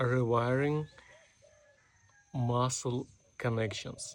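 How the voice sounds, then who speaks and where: Somewhat breathy and medium in pitch, a man's voice keeps a fairly even intonation. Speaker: self-improvement vlogger. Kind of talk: unscripted monologue. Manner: slow; robotic, deliberate.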